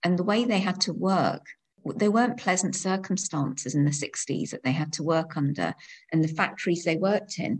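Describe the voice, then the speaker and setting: A woman talks at a moderate pace in a fairly low, somewhat breathy voice. Her pitch variation is ordinary. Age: 50s. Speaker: education lecturer. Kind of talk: casual interview.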